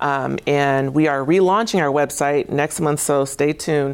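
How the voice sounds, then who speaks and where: Her voice sits very deep and low for a woman. She talks at a moderate pace. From Tacoma, Washington. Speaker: state government agency director. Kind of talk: studio interview. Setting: TV studio. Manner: hesitant, many fillers.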